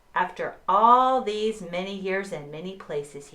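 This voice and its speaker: A woman puts on a character voice at medium pitch. Her pace is moderate. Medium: read story.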